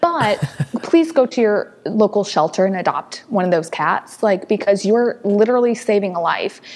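A woman with an American accent speaks at a medium pitch with lively intonation over noticeable background noise. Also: moderate pace. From US Midwest. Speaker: rescue founder. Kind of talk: casual interview chat.

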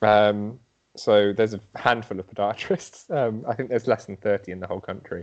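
With an English Midlands accent, a man talks at a moderate pace in a fairly low pitch, his intonation fairly even but his loudness swinging widely. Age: young. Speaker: podiatrist. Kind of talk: interview.

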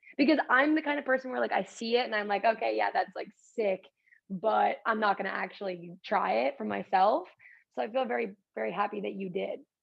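This woman speaks at a fairly quick pace with medium pitch and vocal fry. Her pitch swings very widely. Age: 20s. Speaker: podcast co-host. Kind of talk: casual chat.

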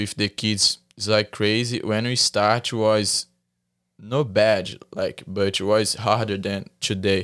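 Very slow speech from a man with a Brazilian accent, fairly low in pitch with fairly even intonation, on a very clean recording with a silent background. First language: Portuguese. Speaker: jiu-jitsu athlete. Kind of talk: casual chat. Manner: halting.

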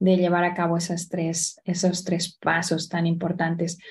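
Her tone dark and mellow and somewhat breathy, a woman speaks at a very slow pace. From Spain, Barcelona. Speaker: entrepreneur, women's business network founder. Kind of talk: interview.

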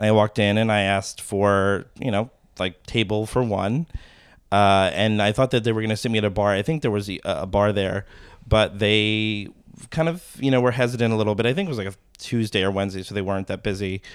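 Recorded very cleanly over a silent background, a man with a normal speaking voice talks at a fairly quick pace, fairly low in pitch, with fairly even intonation. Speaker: food enthusiast with pastry training. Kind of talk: casual chat.

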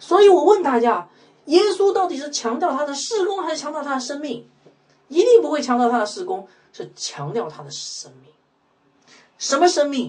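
Extremely high in pitch for a man, his voice shows very wide pitch swings and big swings in loudness at a moderate pace with long, frequent pauses. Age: 40s. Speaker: pastor. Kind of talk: sermon. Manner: many filler sounds.

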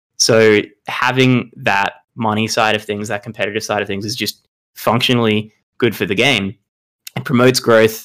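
Speaking in an Australian accent, a man keeps his intonation fairly even. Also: fairly low pitch for a man, moderate pace. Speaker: competitive card game player. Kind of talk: podcast interview. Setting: remote call.

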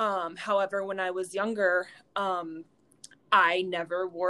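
A woman with an American accent speaks at a medium pitch in a bright, sharp tone, her intonation monotone and flat. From rural North Carolina, Wadesboro. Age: 20s. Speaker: fitness instructor and personal trainer. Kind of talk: interview testimony.

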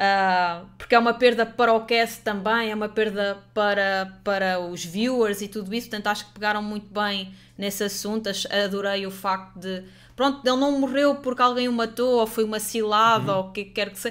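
In an ordinary speaking voice, a woman with a fairly high pitch talks at a moderate pace with fairly even intonation and hardly any pauses, on a very clean recording with a silent background. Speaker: streamer and podcast host. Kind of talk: casual live stream chat.

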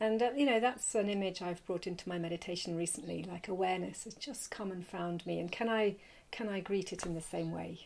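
Her voice is fairly low in pitch with vocal fry, and the woman speaks at a very fast pace. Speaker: mindfulness teacher. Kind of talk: guided meditation. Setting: live lockdown session recorded for students.

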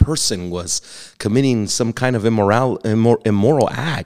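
An unremarkable speaking voice comes from a man with an American accent, at a medium pitch with ordinary pitch variation and a fairly quick pace. The recording is very clean with a silent background and a dry, close sound with no echo. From Texas. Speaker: pastor. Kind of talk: teaching/interview on theology.

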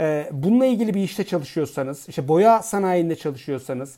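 The recording is very clean with a silent background. The speech moves at a fairly quick pace. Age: 40s. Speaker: fertility doctor. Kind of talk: educational podcast monologue. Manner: hesitant fillers.

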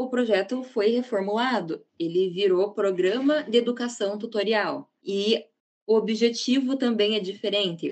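An ordinary speaking voice from a woman, fairly high in pitch, with ordinary pitch variation and a fairly slow pace. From Paraná, Brazil (Ponta Grossa). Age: 20s. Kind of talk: podcast interview.

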